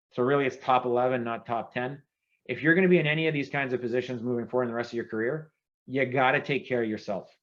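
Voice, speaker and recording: Talking at a very fast pace, a man speaks with a French-Canadian accent. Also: medium pitch for a man. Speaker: former government CIO, keynote speaker. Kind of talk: keynote speech. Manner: animated.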